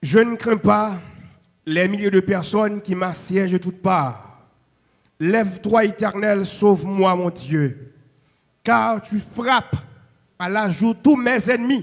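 A man with a high-pitched voice speaks at a very slow pace. Long, frequent pauses break up his speech. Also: ordinary pitch variation. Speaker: pastor. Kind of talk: benediction.

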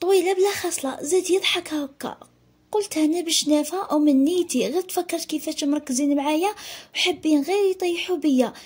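At a moderate pace, a woman talks in an extremely high pitch with ordinary pitch variation. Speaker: storytelling vlogger. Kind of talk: first-person storytelling. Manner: animated.

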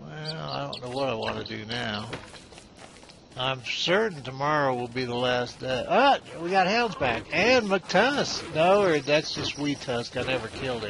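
A man talks at a fairly slow pace. The sound is dry with no echo, though background noise is noticeable. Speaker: game commentator. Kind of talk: let's play commentary. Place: home room. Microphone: headset.

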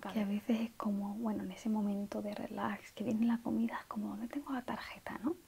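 Soft-spoken and gentle in tone, a woman talks at a fairly quick pace. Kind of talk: roleplay monologue to the viewer. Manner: soft-spoken, gentle ASMR voice. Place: home room.

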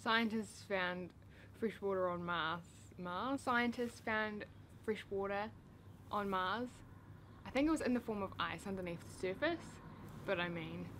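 A woman with a New Zealand accent speaks at a fairly slow pace, with long, frequent pauses and ordinary pitch variation. Light background noise sits behind her. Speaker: YouTuber. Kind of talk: casual talk to camera. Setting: outdoors. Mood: upbeat, playful.

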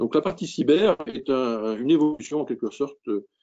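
The voice is a man's. It sounds dark and mellow. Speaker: maritime cybersecurity association head. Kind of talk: webinar presentation. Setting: video call. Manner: halting. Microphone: poor connection.

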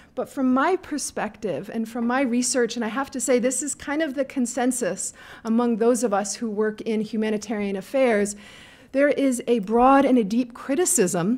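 Her pitch varying in a normal way, a woman keeps to a moderate speed. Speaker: conference speaker. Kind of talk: panel presentation. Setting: stage with audience. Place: hall. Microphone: podium.

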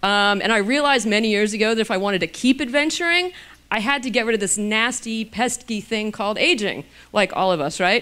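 A woman talks at a fairly quick pace in a bright, sharp tone. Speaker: physician and anti-aging author. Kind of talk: lecture. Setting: stage with audience. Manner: casual, humorous. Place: hall. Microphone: handheld.

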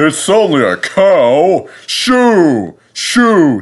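This put-on character voice sits at a middle pitch and carries a hissing sound. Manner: hissed, dismissive.

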